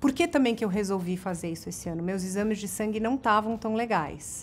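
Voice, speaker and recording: Light background noise sits under a woman's voice. Her pitch varies in an ordinary way. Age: 40s. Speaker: TV presenter and online video host; TV presenter, online video host. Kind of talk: casual tips video to camera. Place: home room.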